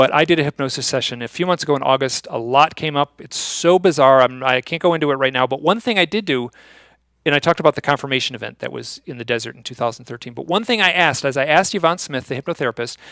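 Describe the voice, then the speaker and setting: In a very clean recording with a silent background, a man speaks at a very fast pace with a fairly high pitch and ordinary pitch variation. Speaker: UFO and owl researcher, author. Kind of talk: conference talk. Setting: stage with audience.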